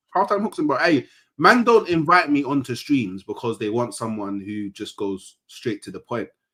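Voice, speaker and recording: A man's medium-pitched, bright, sharp voice with a London accent, at a moderate pace, with very wide pitch swings and big swings in loudness. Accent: London multicultural English. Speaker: football fan YouTuber. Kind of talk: casual panel banter. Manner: calm, measured; documentary-style storytelling.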